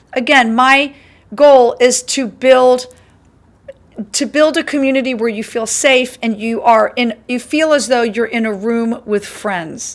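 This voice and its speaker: A woman talks loudly at a fairly slow pace. Her pitch is high, with ordinary variation. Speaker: college instructor. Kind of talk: lecture. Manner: projects voice loudly.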